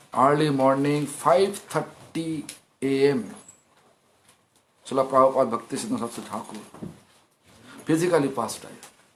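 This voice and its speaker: Amid audible room echo, a man with a fairly high voice speaks fairly quickly with lively intonation, big swings in loudness, and long, frequent pauses. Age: 50s. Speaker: monk preacher. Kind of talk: sermon.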